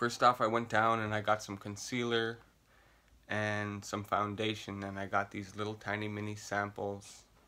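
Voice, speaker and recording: A man speaks at a fairly slow pace. His fairly low voice has a bright, sharp tone. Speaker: makeup vlogger. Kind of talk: casual vlog tutorial. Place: home room. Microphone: phone near.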